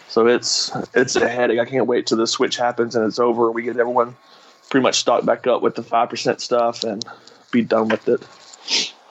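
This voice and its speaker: A man speaks with an American accent at a moderate pace. Noticeable background noise runs underneath. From US South. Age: 30s. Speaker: beer delivery driver. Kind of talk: casual chat.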